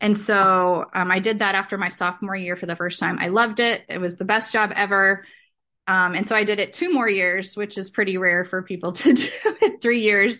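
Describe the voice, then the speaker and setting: A woman with an American accent speaks at a moderate pace and medium pitch, her tone bright and sharp and her intonation fairly even, in a quiet background. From US Midwest (western Illinois). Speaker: speech language pathologist and farmer. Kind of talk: interview conversation.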